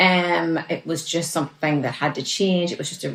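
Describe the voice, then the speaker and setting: A woman speaks with a Northern Irish accent in a fairly low voice. She keeps a moderate pace. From Northern Ireland. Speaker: relationship coach. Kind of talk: casual interview chat.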